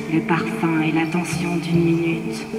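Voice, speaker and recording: Amid loud background noise and a clear echo, a man uses a put-on character voice at a moderate pace. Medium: stage play. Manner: earnest, admonishing.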